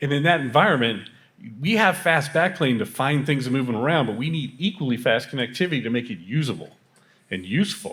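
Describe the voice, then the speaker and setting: In a normal speaking voice, a man at medium pitch talks at a fairly quick pace with lively intonation. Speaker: tech company architect. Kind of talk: panel discussion.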